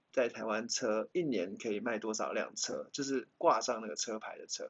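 A man with a Taiwanese accent speaks with big swings in loudness. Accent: Taiwanese-accented English words. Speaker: car podcast host. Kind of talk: casual chat.

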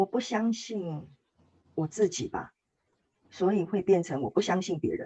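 Somewhat breathy and dark, mellow in tone, a woman of medium pitch speaks at a fairly slow pace with ordinary pitch variation and long, frequent pauses. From Taiwan. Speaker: workshop participant sharing testimony. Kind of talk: testimony interview.

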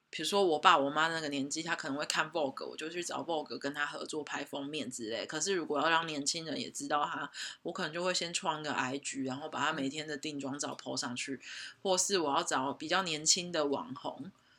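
A fairly quick pace in a southern Taiwanese accent. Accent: Tainan Taiwanese Mandarin, little retroflex. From Taiwan, Tainan. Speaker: guest on podcast, personal brand creator. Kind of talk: casual chat.

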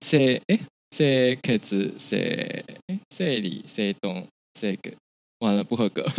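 A man speaks at a very slow pace with long, frequent pauses, his medium-pitched voice carrying lively intonation. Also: dry, close sound with no echo. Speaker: podcast co-host. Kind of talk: casual chat.

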